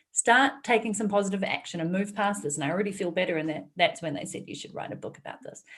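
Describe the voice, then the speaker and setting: Somewhat breathy and at medium pitch, a woman with a New Zealand accent talks at a very fast pace with lively intonation. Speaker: entrepreneur and author. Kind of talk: interview conversation.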